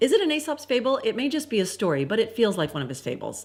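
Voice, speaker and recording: A woman's fairly high voice with vocal fry, very fast, with very wide pitch swings. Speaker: writing coach vlogger. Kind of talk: casual vlog monologue.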